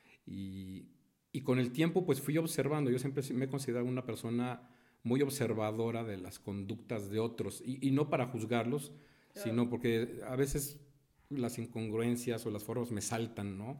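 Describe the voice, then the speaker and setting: A man's dark, mellow tone at a moderate pace. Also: medium pitch for a man, ordinary pitch variation. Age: 50s. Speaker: entrepreneur. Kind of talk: interview.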